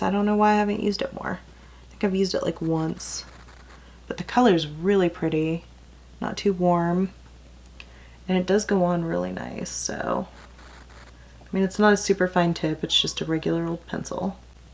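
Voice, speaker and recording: A woman with an American accent, long and frequent pauses, big swings in loudness, and noticeable background noise. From California, then Texas from age 14. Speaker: beauty vlogger. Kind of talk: casual makeup tutorial. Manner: chatty, rambling.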